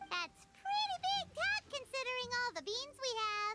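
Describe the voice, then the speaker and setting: An extremely high-pitched, squeaky put-on character voice. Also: moderate pace. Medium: video game. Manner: lively, sassy.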